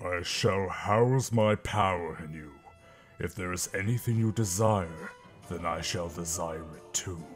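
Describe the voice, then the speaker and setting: Putting on a character voice, a man speaks very deep and low at a fairly slow pace, his loudness swinging widely as clear music plays in the background. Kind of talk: character audition. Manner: menacing, haughty.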